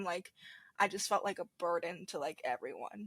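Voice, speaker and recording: A normal speaking voice moves at a fairly slow pace with ordinary pitch variation. The sound is dry and close with no echo, very clean, against a silent background. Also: woman. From US, moved from South Korea as a child. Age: 20s. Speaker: podcast guest. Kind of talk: personal testimony. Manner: casual, filler-heavy.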